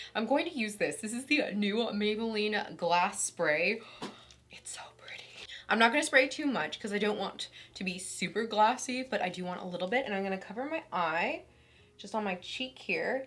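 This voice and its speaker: An unremarkable speaking voice from a woman at a fairly high pitch, with lively intonation, a moderate pace and big swings in loudness. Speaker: beauty YouTuber. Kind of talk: makeup tutorial. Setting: at home. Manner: casual, chatty.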